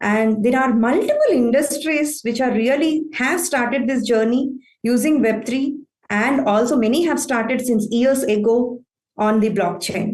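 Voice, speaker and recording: Speaking at a fairly slow pace, a woman with an Indian accent uses a high pitch, ordinary pitch variation and very even loudness. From southern India. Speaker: IT operations manager. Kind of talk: conference talk.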